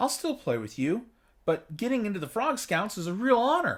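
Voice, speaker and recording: In a very clean recording against a silent background, a man uses a put-on character voice pitched high. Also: moderate pace. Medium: read story.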